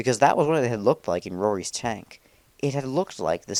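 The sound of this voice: An unforced reading voice moves through the words with lively intonation.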